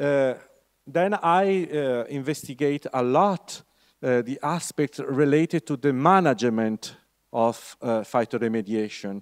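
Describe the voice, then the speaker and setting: In a very clean recording with a silent background and a dry, close sound with no echo, a man with an Italian accent speaks fairly slowly at a fairly high pitch with lively intonation. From Italy. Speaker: university lecturer. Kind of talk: lecture. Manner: halting, many fillers.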